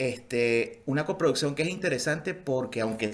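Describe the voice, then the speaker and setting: A man with a Venezuelan accent speaks at a moderate pace in a fairly high pitch. His intonation is lively, and audible room echo surrounds his voice. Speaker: film post-production specialist. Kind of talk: conference talk. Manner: halting, many fillers.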